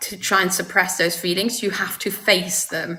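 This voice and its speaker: A woman speaks in a medium pitch at a moderate pace. Noticeable background noise is present. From Luxembourg. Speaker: person in recovery. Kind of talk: interview.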